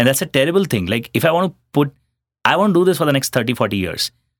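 A man with an Indian accent is heard in a dry, close sound with no echo. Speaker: startup founder and CEO. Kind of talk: interview.

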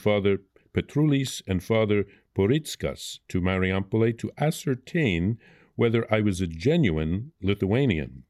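Speaking at a moderate pace, a man uses a fairly low pitch and lively intonation on a very clean recording with a silent background. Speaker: priest reading audiobook. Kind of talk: literary audiobook reading of a historical journal, solemn and measured. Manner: careful with foreign names, slight halts.

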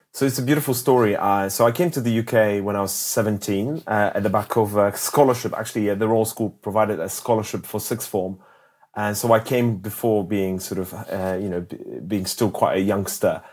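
A man with a Polish accent and a fairly low voice, speaking at a fairly quick pace with ordinary pitch variation. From Poland. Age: 40s. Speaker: health tech entrepreneur. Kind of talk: interview conversation. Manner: halting, many repetitions and fillers.

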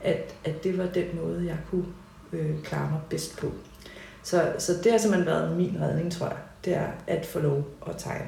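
A woman speaks at a fairly slow pace. Both noticeable background noise and audible room echo come through. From Copenhagen, Denmark (Nørrebro). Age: 40s. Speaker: painter and high school teacher. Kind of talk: interview conversation. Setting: at home in living room.

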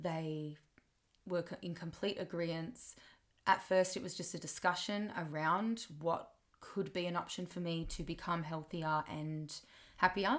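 On a very clean recording with a silent background, a woman with an Australian accent talks at a fairly slow pace, with a fairly low pitch and fairly even intonation. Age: 20s. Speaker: podcaster and music teacher. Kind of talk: personal monologue.

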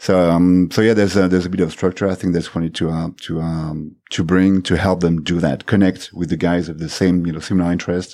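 In a French accent, a man speaks with a very deep, low pitch and a dark, mellow tone, flat and monotone. He goes at a fairly quick pace with hardly any pauses, in a very clean recording with a silent background. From France. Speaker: tech community volunteer. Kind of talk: casual interview. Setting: studio.

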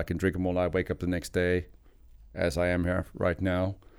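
In a very clean recording with a silent background, a man speaks at a moderate pace in a very deep, low pitch with a dark, mellow tone. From South Africa. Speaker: former pro golfer, tequila enthusiast. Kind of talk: casual chat. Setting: studio.

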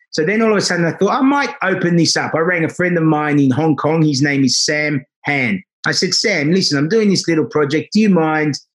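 With an Australian accent, a man speaks at a fairly quick pace and a fairly high pitch. His pitch varies in an ordinary way, and his loudness stays very even. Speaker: salon owner. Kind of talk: interview. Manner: animated.

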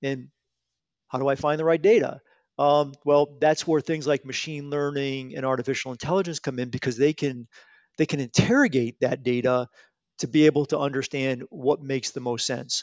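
A man talks at a moderate pace in an American accent, with a normal speaking voice. His pitch is fairly high, and his intonation stays fairly even. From Connecticut, US. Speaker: retired aerospace engineering executive. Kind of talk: podcast interview.

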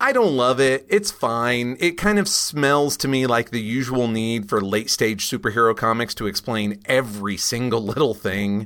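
This man has an unremarkable speaking voice at a medium pitch, with ordinary pitch variation, a moderate pace and hardly any pauses. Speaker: podcast host and comics expert. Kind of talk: casual podcast discussion.

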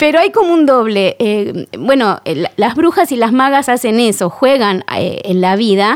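A woman with a high voice and a Rioplatense accent talks at a fairly slow pace with lively intonation. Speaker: actress and candle maker. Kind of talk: interview.

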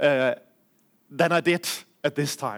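A fairly slow delivery with a Danish accent in a very clean recording with a silent background. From Denmark. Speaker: preacher. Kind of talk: sermon. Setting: church.

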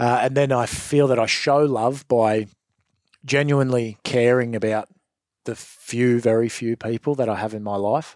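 A man with an Australian accent, moderate pace and fairly even intonation. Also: medium pitch for a man. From Australia, western Sydney. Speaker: former gang member. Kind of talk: interview testimony. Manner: halting, repeats words.

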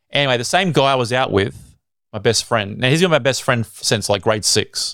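A man with an Australian accent talks at a very fast pace. The recording is very clean, with a silent background and a dry, close sound with no echo. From Australia (Sydney). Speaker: evangelist and radio content manager. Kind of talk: casual interview, personal testimony.

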